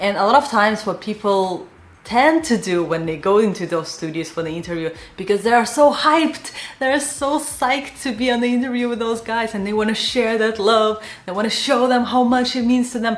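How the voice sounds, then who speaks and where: A woman with a non-native accent and a fairly high pitch speaks with lively intonation, with audible room echo and noticeable background noise. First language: not English. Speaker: animation artist and career advice youtuber. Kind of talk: career advice talk to camera. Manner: casual, filler-heavy.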